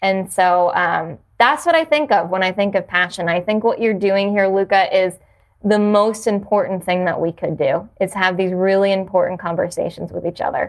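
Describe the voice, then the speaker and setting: Speaking with an American accent, a woman has an unremarkable speaking voice with medium pitch, ordinary pitch variation and a moderate pace. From New Jersey (South Jersey). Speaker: yoga studio owner. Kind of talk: casual chat.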